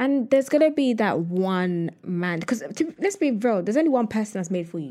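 A woman talks at a fairly quick pace, her pitch swinging very widely. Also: fairly high pitch for a woman. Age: 20s. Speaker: content creator. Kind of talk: casual chat.

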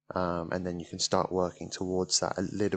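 Over a quiet background, a man with a British accent delivers a very deep, low voice in a bright, sharp tone with monotone, flat intonation. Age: 20s. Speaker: podcast host. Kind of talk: solo monologue on self-improvement. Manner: hesitant, many fillers.

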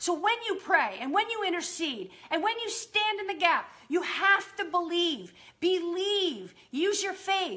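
In a raised, projected voice with a bright, sharp tone, someone speaks animatedly and enthusiastically at a fairly slow pace with ordinary pitch variation. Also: woman, extremely high pitch for a woman. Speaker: podcast host and prayer teacher. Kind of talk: charismatic Bible teaching and fervent exhortation to believe. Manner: emphatic, insistent repetition building preacher-like momentum; animated, enthusiastic.

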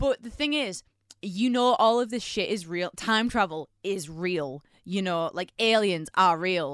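On a very clean recording with a silent background, a woman with a normal speaking voice talks fairly slowly at a medium pitch, her intonation lively. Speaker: podcast co-host. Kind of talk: casual chat.

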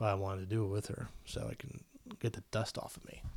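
A man with an American accent talks at a fairly quick pace, somewhat breathy. The recording is very clean, with a silent background. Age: 20s. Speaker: podcast host. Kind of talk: casual solo talk. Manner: animated.

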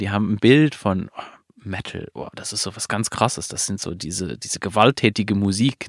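Recorded very cleanly with a silent background, the speaker has a non-native accent and a dry, close sound with no echo. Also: man. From outside Germany. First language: not German (speaking German). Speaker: podcast host. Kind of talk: casual interview conversation. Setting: recorded in a trailer at an event venue.

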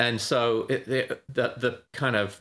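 A man's voice has a bright, sharp tone. The recording is very clean with a silent background. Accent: British. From Britain. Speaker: options trader and trading educator. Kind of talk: casual interview.

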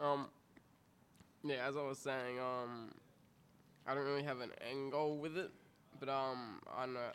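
A man with an Australian accent speaks at a fairly slow pace, leaving long, frequent pauses. His intonation is monotone and flat. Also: medium pitch for a man. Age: 20s. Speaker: rapper. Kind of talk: casual chat.

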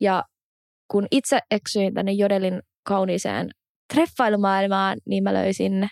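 A woman speaks at medium pitch, the sound dry and close with no echo. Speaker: podcast host. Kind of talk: casual chat.

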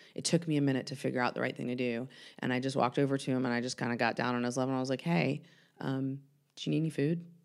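This woman talks at a very fast pace in an American accent, her pitch very deep and low with ordinary variation. The recording is very clean, with a silent background. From US South, Atlanta. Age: 40s. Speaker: mental health worker in recovery. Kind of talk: casual chat. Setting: studio.

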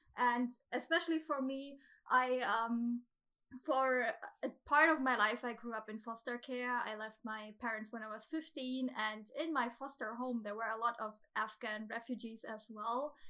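A woman with a German accent speaks at a fairly slow pace, her high, bright, sharp voice holding fairly even intonation. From Germany. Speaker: guest, podcast listener. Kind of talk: casual chat. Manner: nervous.

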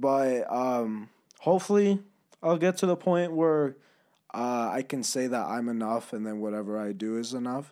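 Over a silent background in a very clean recording, a man's medium-pitched voice has a dark, mellow tone and lively intonation. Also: moderate pace. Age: 20s. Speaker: podcast host. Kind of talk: casual chat.

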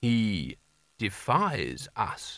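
Putting on a robotic character voice, a man speaks at a medium pitch.

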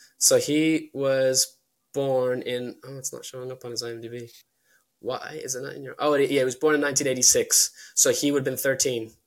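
Speaking in a Dublin accent at a moderate pace, a man holds a medium pitch with monotone, flat intonation. His loudness swings widely. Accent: Dublin Irish. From Ireland, Dublin. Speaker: filmmaker. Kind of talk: casual chat. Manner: halting.

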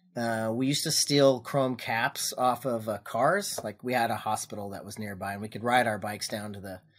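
Here is a man with an ordinary speaking voice, medium in pitch with ordinary pitch variation. He speaks at a moderate pace on a very clean recording with a silent background. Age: 50s. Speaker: firearms business owner. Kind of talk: casual chat.

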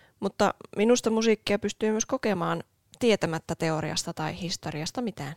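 A woman speaks in a normal speaking voice at medium pitch and a moderate pace with ordinary pitch variation, the sound dry and close with no echo on a very clean recording with a silent background. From Oulu, Finland. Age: 20s. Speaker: podcast co-host. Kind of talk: casual chat.

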